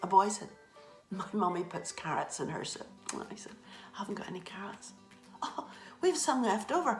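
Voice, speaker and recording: Speaking in a Northern Irish accent with music in the background, a woman at medium pitch uses lively intonation and a moderate pace, with long, frequent pauses and big swings in loudness. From Northern Ireland. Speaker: storyteller. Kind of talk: children's storytelling.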